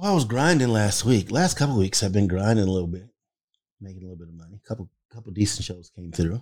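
Speaking at a very fast pace, a man with a fairly low pitch uses ordinary pitch variation. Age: 60s. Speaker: podcast co-host, father and cook. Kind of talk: casual chat.

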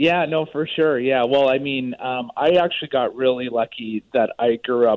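A man with a Canadian accent talks at a fairly slow pace, his pitch medium. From British Columbia, Canada. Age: 40s. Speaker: health supplement company founder. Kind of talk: casual interview. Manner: halting, many fillers.

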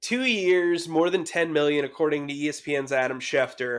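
Recorded very cleanly against a silent background, a man with an unremarkable speaking voice speaks fairly slowly at a fairly high pitch. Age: 30s. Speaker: sports journalist. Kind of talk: casual chat.

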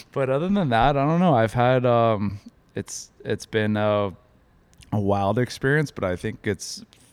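This man has an unremarkable speaking voice, with a moderate pace and ordinary pitch variation. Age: 40s. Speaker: podcast host's husband. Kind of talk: casual chat.

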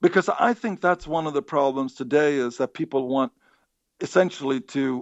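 A man in a Swedish accent talks at a fairly slow pace and a fairly high pitch, with ordinary pitch variation. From Sweden. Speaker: psychology professor. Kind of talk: interview. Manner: halting, many repeated words.

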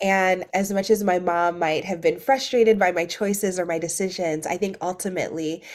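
A woman's ordinary speaking voice at a medium pitch, with ordinary pitch variation. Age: 30s. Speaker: activist and author. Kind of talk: interview conversation.

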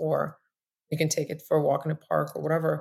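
In a Russian accent, a woman speaks at a moderate pace with a very deep, low pitch on a very clean recording with a silent background. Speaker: tech startup founder and CEO. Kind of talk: podcast interview.

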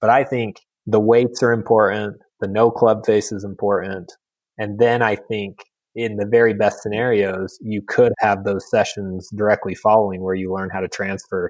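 With an unremarkable speaking voice, a man talks at a moderate pace in a fairly low pitch and fairly even intonation. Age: 30s. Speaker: sports biomechanics researcher. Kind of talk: casual interview.

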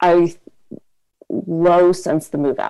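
This woman has a fairly low pitch and a dark, mellow tone with vocal fry. Her intonation is monotone and flat. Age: 20s. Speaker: caller. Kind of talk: advice call. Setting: phone call.

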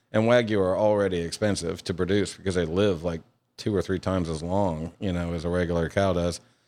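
In a very clean recording with a silent background, a man with a Louisiana accent speaks at a fairly quick pace in a very deep, low voice with fairly even intonation. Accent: Southern US (Louisiana). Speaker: chef and restaurant owner. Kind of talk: interview.

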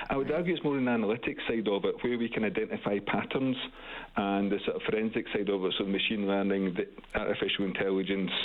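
Talking at a very fast pace, a man keeps a fairly low pitch, ordinary pitch variation and very even loudness. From UK. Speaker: university professor. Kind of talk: radio interview. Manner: hesitant, many fillers and repeats.

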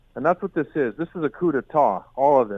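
A normal speaking voice from a man, moderate pace and ordinary pitch variation. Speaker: newspaper columnist. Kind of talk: radio interview.

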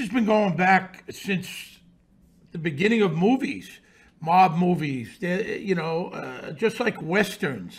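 Very slow pace and lively intonation in a New York accent. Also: man. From Brooklyn, New York. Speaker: author and podcaster. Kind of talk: casual interview. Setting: remote from New York City.

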